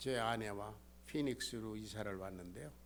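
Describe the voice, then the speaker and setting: Audible room echo surrounds a man who speaks very slowly at a fairly low pitch. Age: 70s. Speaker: pastor. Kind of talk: sermon.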